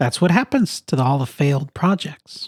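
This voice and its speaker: This man performs a put-on character voice. It sits at a fairly high pitch and moves at a moderate pace. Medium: read story. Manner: doubtful, blunt.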